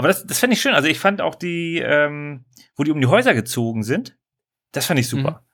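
Delivered at a fairly quick pace with lively intonation, a plain, everyday voice comes through on a very clean recording with a silent background. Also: man, fairly high pitch for a man. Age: 30s. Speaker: podcast co-host. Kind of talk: casual chat.

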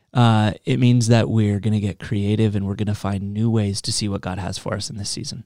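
A man speaks in a normal speaking voice, fairly low in pitch, at a fairly quick pace with hardly any pauses. The recording is very clean, with a silent background. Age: 20s. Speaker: youth pastor. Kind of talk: casual podcast chat.

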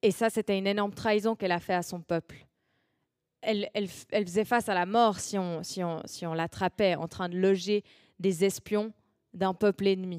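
A woman's medium-pitched voice in a monotone, flat intonation at a moderate pace, with long, frequent pauses, a dry, close sound with no echo, and a very clean recording with a silent background. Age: 20s. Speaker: youth preacher. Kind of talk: sermon.

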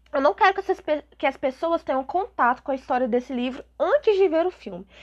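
A woman's extremely high voice with lively intonation, dry and close with no echo, against a quiet background. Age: 20s. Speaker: podcast host, literature student. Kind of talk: casual book review monologue. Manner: hesitant, with filler sounds.

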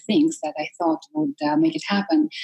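A woman speaks in a Russian accent at medium pitch, somewhat breathy. The sound is dry and close, with no echo. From Russia, Siberia. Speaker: life coach. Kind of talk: interview.

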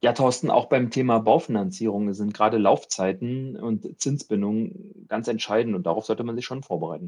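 The man speaks fairly quickly, at medium pitch, with lively intonation. His is an unremarkable speaking voice. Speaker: bank advisor for medical professionals. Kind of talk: interview.

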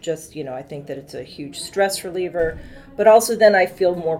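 In an American accent, a woman speaks in a normal speaking voice, her pitch fairly low with ordinary variation. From Massachusetts. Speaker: fitness client. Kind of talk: casual chat.

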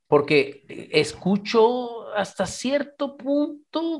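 This man's voice swings very widely in pitch. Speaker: radio host, therapist. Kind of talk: radio interview. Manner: repetitive stammering.

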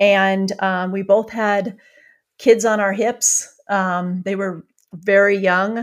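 A woman speaks at a very slow pace and medium pitch. Her intonation is monotone and flat. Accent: US Midwestern. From rural Iowa, US Midwest. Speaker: author, former journalist. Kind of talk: interview conversation.

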